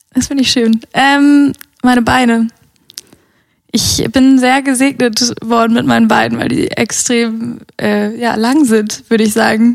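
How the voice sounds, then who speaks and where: A woman speaks at a fairly slow pace with long, frequent pauses. Her fairly high pitch holds fairly even intonation and very even loudness. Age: 20s. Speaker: podcast guest. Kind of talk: casual chat.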